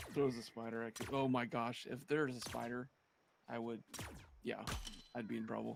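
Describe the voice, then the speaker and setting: Speaking quietly at a moderate pace, a man with a medium pitch keeps a monotone, flat intonation and leaves long, frequent pauses. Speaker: gaming streamer. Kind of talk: casual chat. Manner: quiet, subdued.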